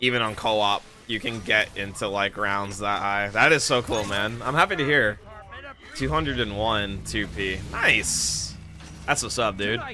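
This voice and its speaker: Over music in the background, a man speaks in a relaxed tone at a fairly slow pace. His voice sits fairly low, with ordinary pitch variation. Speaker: gaming streamer. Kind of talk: live gameplay stream chat. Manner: casual, relaxed.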